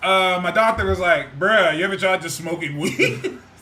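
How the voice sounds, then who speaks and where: Loud and animated, a man with a high pitch talks at a fairly quick pace with lively intonation over noticeable background noise. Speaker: podcast co-host. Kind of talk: casual chat.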